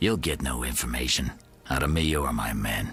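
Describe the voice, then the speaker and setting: Using a put-on character voice, a man sounds raspy and very deep and low, with ordinary pitch variation at a moderate pace. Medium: video game. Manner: measured, authoritative.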